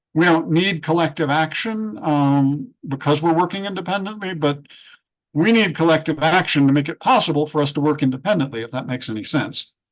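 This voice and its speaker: A man speaks in an unremarkable speaking voice, fairly high-pitched, at a fairly quick pace with ordinary pitch variation over a quiet background. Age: 60s. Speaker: freelance writer and author. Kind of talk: panel discussion.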